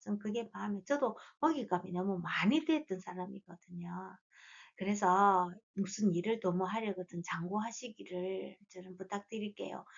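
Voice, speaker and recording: This is a plain, everyday voice, a woman's at medium pitch. She speaks at a moderate pace with ordinary pitch variation. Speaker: fortune teller. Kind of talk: lecture.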